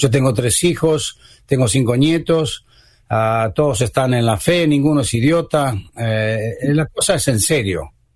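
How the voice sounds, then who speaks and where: Somewhat breathy, a man speaks at a fairly slow pace and medium pitch with ordinary pitch variation. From Argentina. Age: 70s. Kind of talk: radio interview.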